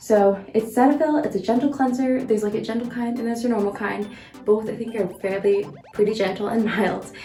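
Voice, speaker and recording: Music plays in the background and room echo is audible as a woman talks at a fairly quick pace, her pitch fairly high with ordinary variation. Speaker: medical student vlogger. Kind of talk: casual vlog tutorial. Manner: whispering.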